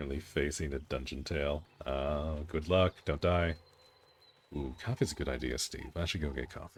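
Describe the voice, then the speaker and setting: This man's pitch is very deep and low, with vocal fry. His intonation stays fairly even. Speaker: game streamer. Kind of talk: live gameplay stream chat. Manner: fast.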